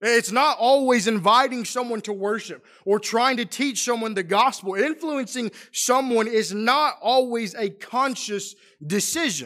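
The voice has a bright, sharp tone and ordinary pitch variation at a fairly slow pace. The recording is very clean, with a silent background. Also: man, extremely high pitch for a man. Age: 20s. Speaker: preacher. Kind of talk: sermon.

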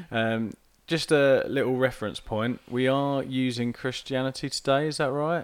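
A man with an unremarkable speaking voice talks at a moderate pace and medium pitch, his intonation fairly even, on a very clean recording with a silent background. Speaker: podcast co-host. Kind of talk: casual podcast chat. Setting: at a dining room table.

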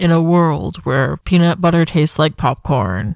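This put-on character voice sits at a middle pitch and moves at a moderate pace with lively intonation. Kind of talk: theatrical trailer narration. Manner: dramatic.

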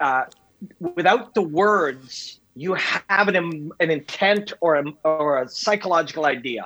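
Music plays in the background as a man talks at a fairly slow pace. His pitch is high. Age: 50s. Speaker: MMA analyst. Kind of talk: casual chat.

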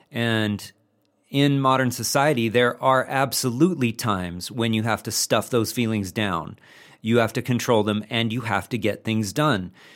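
This man has an ordinary speaking voice with medium pitch and ordinary pitch variation. He talks at a moderate pace on a very clean recording with a silent background. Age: 40s. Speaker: masculinity coach. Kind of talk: interview.

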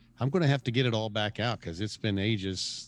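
An ordinary speaking voice moves at a fairly quick pace. Pitch variation is ordinary. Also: man. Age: 50s. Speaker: musician. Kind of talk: casual chat.

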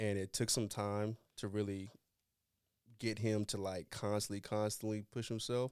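Someone with an American accent speaks at a moderate pace in a flat, monotone way with very even loudness, on a very clean recording with a silent background. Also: man, fairly low pitch for a man. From North Carolina. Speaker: basketball trainer. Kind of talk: casual chat. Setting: studio.

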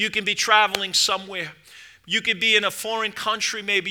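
A raised, projected male voice, high-pitched, warm yet bright and sharp in tone, with flat, monotone intonation. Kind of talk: sermon. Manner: fervent, exhortative pulpit delivery with call-and-response "amen" prompts; warm, urgent, rising to an invitational plea.

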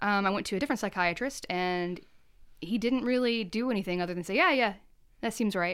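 On a very clean recording with a silent background, a woman with an unremarkable speaking voice talks fairly quickly at a medium pitch. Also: ordinary pitch variation. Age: 30s. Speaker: art teacher and printmaker. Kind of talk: casual interview chat.

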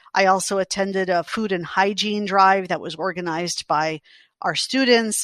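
A woman with an American accent has an unremarkable speaking voice at a medium pitch, speaking at a moderate pace with fairly even intonation against a quiet background. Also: dry, close sound with no echo. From New York City. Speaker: college president. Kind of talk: interview.

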